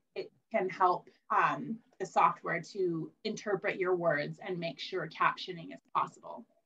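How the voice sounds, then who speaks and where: With a plain, everyday voice, a woman talks at a fairly slow pace with lively intonation. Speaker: library staff presenter. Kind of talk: conference presentation.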